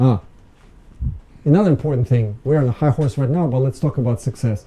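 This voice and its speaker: This man has a medium pitch and a somewhat breathy voice. He talks at a fairly quick pace with ordinary pitch variation. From Ukraine. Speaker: business consultant and guest speaker. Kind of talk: lecture. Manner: halting.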